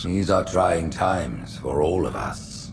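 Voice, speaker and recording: A man speaks in a put-on character voice at a fairly slow pace. Loud background noise runs behind him. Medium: video game. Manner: grandiose, condescending.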